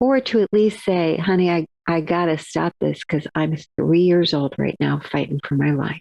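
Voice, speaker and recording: A woman with a fairly low pitch speaks at a moderate pace, her pitch varying in an ordinary way and her loudness very even. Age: 60s. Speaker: author and therapist. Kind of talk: interview. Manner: animated.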